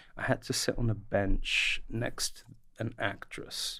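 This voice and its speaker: A London accent against a quiet background. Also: man. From north London, England. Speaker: archaeologist and professor; professor. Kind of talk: casual chat. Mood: relaxed, amused. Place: studio. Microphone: studio mic.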